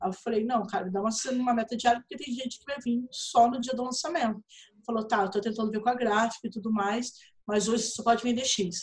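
Speaking at a very fast pace, a woman with a fairly high pitch keeps a fairly even intonation. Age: 30s. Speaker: writer and literary event organizer. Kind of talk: casual chat.

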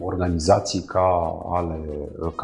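A man talks very slowly, with music playing behind him. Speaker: podcast host. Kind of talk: interview.

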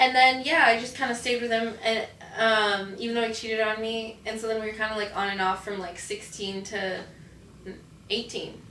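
Speaking with an American accent, a woman talks at a moderate pace and a fairly high pitch with fairly even intonation. There is audible room echo and noticeable background noise. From northern US. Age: 20s. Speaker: adult actress. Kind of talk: casual interview. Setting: on a film set.

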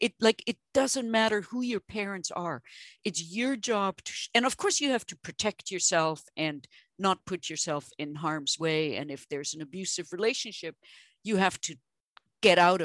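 A woman with a German accent at medium pitch, lively intonation, big swings in loudness and a moderate pace, recorded dry and close with no echo against a quiet background. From Germany. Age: 50s. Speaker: translator of Chinese medicine texts. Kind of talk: interview conversation. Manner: animated.

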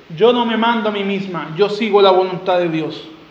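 Over noticeable background noise, a man speaks in an animated tone. His pace is fairly slow, and his pitch varies in an ordinary way. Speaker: preacher. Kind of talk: expository sermon to a congregation, teaching through scripture verse by verse. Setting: church. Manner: animated, rhetorical, urgent; repeats key phrases, with direct questions and calls to respond.

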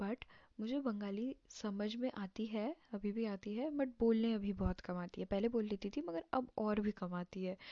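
A woman's dark, mellow tone with ordinary pitch variation and hardly any pauses, in a dry, close sound with no echo. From Bihar, India (early childhood in Assam). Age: young. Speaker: podcaster, recent school graduate. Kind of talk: casual personal monologue. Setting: home recording at night, no setup. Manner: halting, many fillers.

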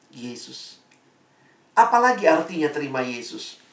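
In an animated tone with very wide pitch swings, a man speaks at a moderate pace amid audible room echo. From Indonesia, Ambonese family. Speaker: preacher. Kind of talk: sermon. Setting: video call.

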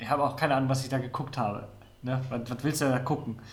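A man speaks very fast at a medium pitch, his intonation fairly even, with audible echo from the room. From Mecklenburg-Vorpommern, Neustrelitz. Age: 30s. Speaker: podcast co-host. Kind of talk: casual chat.

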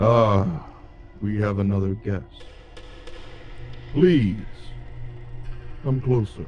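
Putting on a booming character voice, a man speaks at a very slow pace with long, frequent pauses and fairly low pitch, while clear background noise runs underneath.

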